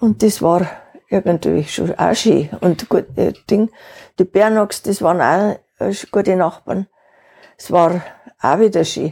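A woman's dark, mellow tone at a fairly slow pace. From Upper Bavaria, Wartenberg. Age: 80s. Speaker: interviewee, retiree. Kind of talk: casual interview.

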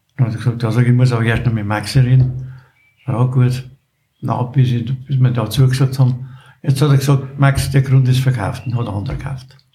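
In a Bavarian accent, a man talks at a fairly quick pace with a dark, mellow tone, somewhat breathy and monotone, flat in intonation. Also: medium pitch for a man. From Bavaria, Wartenberg (Upper Bavaria). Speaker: retired local shopkeeper and choir chairman. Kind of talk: casual chat.

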